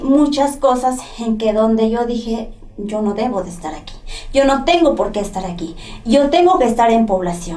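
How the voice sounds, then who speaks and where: A woman with a Mexican accent speaks at a moderate pace and a fairly high pitch, with lively intonation. Noticeable background noise and audible room echo are present. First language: Nahuatl (speaking Spanish). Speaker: former prisoner, poet and translator. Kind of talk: testimony. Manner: halting, with self-corrections.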